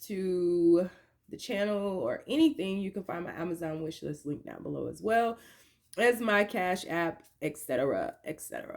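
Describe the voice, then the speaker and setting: A woman speaks at a moderate pace with big swings in loudness. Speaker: tarot card reader. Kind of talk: tarot reading for viewers. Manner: coughing at times.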